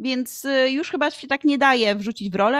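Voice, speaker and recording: A woman talks at a fairly quick pace with ordinary pitch variation on a very clean recording with a silent background. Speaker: Polish teacher and educational content creator. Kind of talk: interview conversation.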